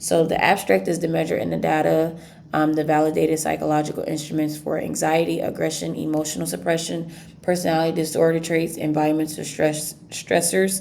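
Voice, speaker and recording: Talking at a fairly quick speed, a woman is heard with audible room echo. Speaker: student. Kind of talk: class presentation. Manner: fast; halting.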